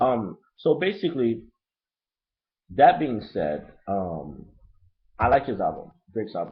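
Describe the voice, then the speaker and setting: A man with a slight Haitian accent speaks at a medium pitch with vocal fry and very wide pitch swings. His pace is fairly slow, with long, frequent pauses. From Brooklyn, New York (Haitian family). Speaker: hip-hop album reviewer, vlogger. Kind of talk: casual webcam review monologue. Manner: loose, unedited, filler-heavy.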